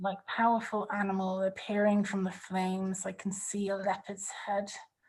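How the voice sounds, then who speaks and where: The voice is somewhat breathy and moves at a moderate pace. Its intonation stays flat and monotone. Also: woman, medium pitch for a woman. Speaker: online workshop facilitator. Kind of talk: group workshop discussion.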